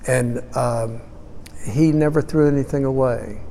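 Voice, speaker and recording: In a room with audible echo and noticeable background noise, a man of medium pitch talks at a fairly slow pace with fairly even intonation. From Houston, Texas. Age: 70s. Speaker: parish archivist. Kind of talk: oral history interview. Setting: parish auditorium. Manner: hesitant, with many fillers.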